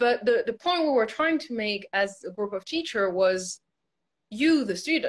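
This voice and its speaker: Speaking with a non-native accent, a woman goes at a moderate pace, her pitch swinging very widely. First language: not English. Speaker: ballet teacher. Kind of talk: casual chat.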